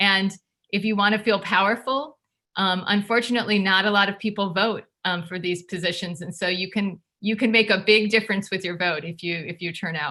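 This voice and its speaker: At a fairly quick pace, a woman talks at a medium pitch with fairly even intonation. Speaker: education advocacy group board member. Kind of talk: presentation at online community meeting. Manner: fast.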